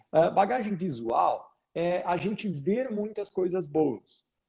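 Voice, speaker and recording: Speaking with a Rio Grande do Sul accent, a man with a high pitch and a dark, mellow tone uses ordinary pitch variation. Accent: Rio Grande do Sul (gaúcho). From Rio Grande do Sul, southern Brazil. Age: 30s. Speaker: photography business mentor, wedding photographer. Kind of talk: live Q&A coaching session. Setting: Instagram live video call. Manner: animated, informal.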